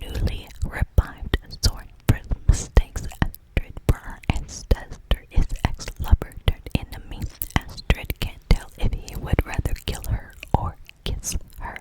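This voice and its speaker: Whispering at a fairly slow pace, a woman's loudness swings widely over noticeable background noise. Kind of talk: reading a book synopsis aloud. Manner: soft whispered.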